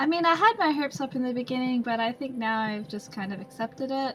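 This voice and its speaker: With music in the background, a woman speaks at a high pitch and moderate pace, her intonation lively. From Australia.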